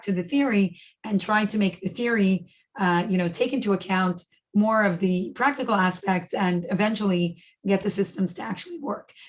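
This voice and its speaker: In a very clean recording with a silent background, a woman speaks fairly quickly at a medium pitch, somewhat breathy, with ordinary pitch variation. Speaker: professor. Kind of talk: lecture. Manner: fast.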